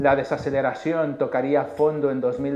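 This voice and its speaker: A man speaks with a Mexican accent at a fairly high pitch. Audible room echo surrounds his voice. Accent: Mexican accent, noticeable in Spain. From Mexico. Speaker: chief economist. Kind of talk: conference presentation. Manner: hesitant with frequent filler 'eh'.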